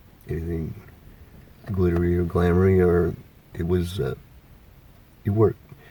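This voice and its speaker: Monotone, flat intonation comes at a moderate pace through noticeable background noise. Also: man. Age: 60s. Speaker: retiree interviewed about life. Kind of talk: casual interview. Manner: hesitant, many fillers.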